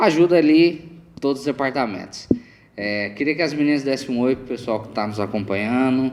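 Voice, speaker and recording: At a moderate pace and medium pitch, a man talks with lively intonation over noticeable background noise. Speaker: podcast co-host. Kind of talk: casual religious podcast chat.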